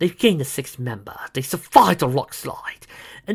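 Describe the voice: Someone reads aloud plainly. The intonation stays lively throughout.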